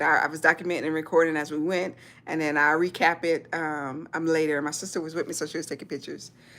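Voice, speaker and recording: Very deep and low in pitch, a woman talks very fast with a Southern US accent in a monotone, flat intonation. The recording is very clean over a silent background. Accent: Southern US (Georgia). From US South. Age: 40s. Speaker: military veteran and YouTuber. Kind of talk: livestream chat. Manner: halting.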